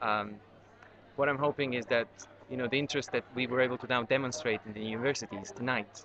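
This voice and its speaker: With a Serbian accent, a man talks very fast with ordinary pitch variation, in a dry recording with no echo and noticeable background noise. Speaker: documentary filmmaker. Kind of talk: interview; interview answer. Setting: on location at a university screening. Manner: halting, many fillers. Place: hall. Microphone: webcam.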